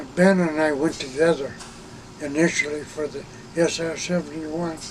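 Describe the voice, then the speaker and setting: A man speaks in a fairly high pitch with monotone, flat intonation. His loudness swings widely over noticeable background noise. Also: moderate pace. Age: 80s+. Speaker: retired Air Force reconnaissance systems officer. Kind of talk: interview answer. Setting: inside an RV.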